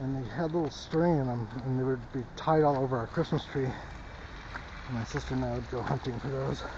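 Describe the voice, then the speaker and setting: A soft-spoken man with an American accent and medium pitch, fairly even intonation, moderate pace and hardly any pauses, amid noticeable background noise and audible room echo. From US West Coast, Los Angeles. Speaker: vlogger. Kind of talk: casual walking vlog. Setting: outdoors, walking in snow.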